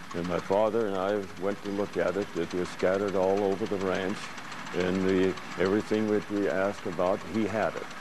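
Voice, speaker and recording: A man with an American accent speaks at a moderate pace and a fairly low pitch, with noticeable background noise. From Montana. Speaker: tractor museum owner. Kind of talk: interview.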